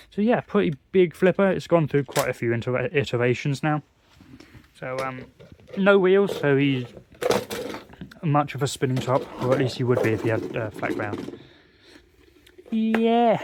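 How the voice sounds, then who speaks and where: A man with a fairly high pitch, very wide pitch swings and long, frequent pauses over noticeable background noise. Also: moderate pace, dry, close sound with no echo. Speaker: hobbyist showing homemade toy robots. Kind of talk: casual show-and-tell video. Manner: hesitant, many fillers and restarts.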